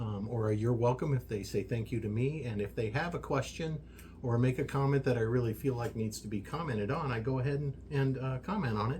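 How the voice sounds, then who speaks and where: At a fairly quick pace, a man with an American accent speaks at medium pitch with ordinary pitch variation over noticeable background noise. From US, army brat raised partly in Germany. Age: 60s. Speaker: social media creator, workshop owner. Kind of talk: casual podcast interview. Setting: workshop. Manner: hesitant, many fillers.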